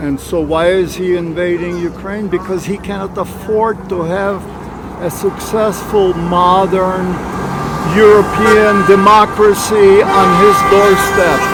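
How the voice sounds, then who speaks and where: With an American accent, a man talks at a very slow pace and a high pitch. Background noise is noticeable. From USA. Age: 80s+. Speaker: retired army officer. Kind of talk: casual chat. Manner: animated.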